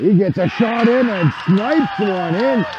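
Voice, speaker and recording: Crowd noise sits behind a man speaking at a very slow pace, his sound dry with no echo. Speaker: hockey play-by-play commentator. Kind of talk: live ice hockey play-by-play commentary. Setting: arena, calling game from the rink.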